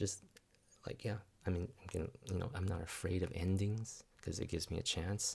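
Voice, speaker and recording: The voice is soft-spoken and somewhat breathy, moving at a fairly quick pace with fairly even intonation. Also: man, very deep, low pitch for a man. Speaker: spiritual vlogger. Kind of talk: reflective monologue. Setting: at home. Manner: halting. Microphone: new microphone.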